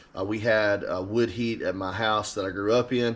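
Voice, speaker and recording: A man speaks with an Alabama accent. His voice has a medium pitch. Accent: Southern US (Alabama). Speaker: eBay reseller. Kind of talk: casual vlog talk. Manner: casual, hesitant with many fillers.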